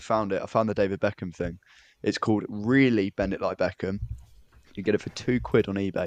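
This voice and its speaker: A man's unremarkable speaking voice at a fairly low pitch and fairly quick pace, with fairly even intonation, in a dry, close sound with no echo and a quiet background. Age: 20s. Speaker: podcast co-host. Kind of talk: casual chat.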